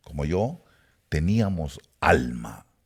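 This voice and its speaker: This man's voice comes across as somewhat breathy. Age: 70s. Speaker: preacher. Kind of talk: sermon-style talk to online audience. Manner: hesitant with fillers.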